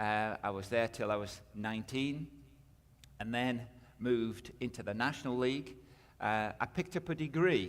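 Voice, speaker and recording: With a British accent, a man talks at a moderate pace and medium pitch with ordinary pitch variation and long, frequent pauses on a very clean recording with a silent background. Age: 50s. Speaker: missionary and minister. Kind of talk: testimony.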